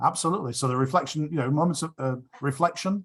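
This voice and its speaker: With an English accent, a somewhat breathy man speaks at a fairly quick pace with ordinary pitch variation. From England, Sheffield and Chelmsford. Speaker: rotary speaker. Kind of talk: q&a discussion.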